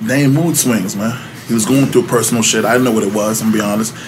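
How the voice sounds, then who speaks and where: A man with a New York accent talks at a very fast pace in a medium pitch with ordinary pitch variation, over noticeable background noise and audible room echo. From New York City, Upper West Side. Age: 40s. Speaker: former record label member. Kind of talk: casual interview chat.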